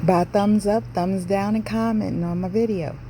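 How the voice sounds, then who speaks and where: A woman speaks with an American accent. Noticeable background noise can be heard. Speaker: home cook video host. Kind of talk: cooking tutorial voiceover. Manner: casual, chatty.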